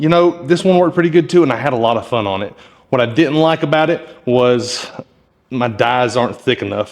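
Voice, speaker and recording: Lively intonation marks this man's fairly high voice. He keeps a fairly quick pace. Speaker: blacksmith. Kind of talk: tutorial. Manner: fast; casual.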